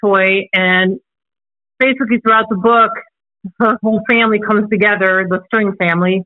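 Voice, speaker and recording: With an American accent, a woman speaks at a medium pitch in a monotone, flat intonation and very even loudness. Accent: none noticeable, she says. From Illinois, Chicago area. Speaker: children's book author and illustrator. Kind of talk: interview. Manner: halting, with many fillers.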